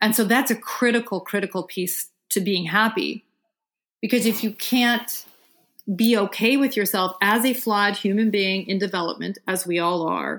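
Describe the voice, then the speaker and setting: A woman with an American accent has an unremarkable speaking voice at medium pitch. She speaks at a moderate pace with fairly even intonation. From Vermont, US. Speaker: psychologist and sex therapist. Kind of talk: therapy session interview.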